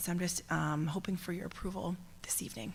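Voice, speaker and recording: A woman at a fairly quick pace, fairly low in pitch, with vocal fry and fairly even intonation. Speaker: school district curriculum administrator. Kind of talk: public meeting presentation. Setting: school committee meeting.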